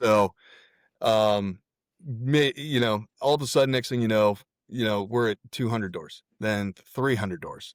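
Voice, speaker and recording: Recorded very cleanly against a silent background, the sound is dry and close with no echo. A man with a normal speaking voice talks at a fairly slow pace, with medium pitch and ordinary pitch variation. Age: 40s. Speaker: real estate investor and military veteran. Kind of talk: casual interview chat.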